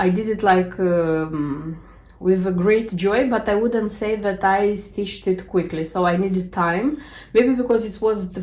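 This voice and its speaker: Amid audible room echo, a woman talks at a fairly slow pace, her pitch medium with ordinary variation. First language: not English. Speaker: cross stitch video creator. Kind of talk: casual show-and-tell vlog. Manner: halting, many fillers.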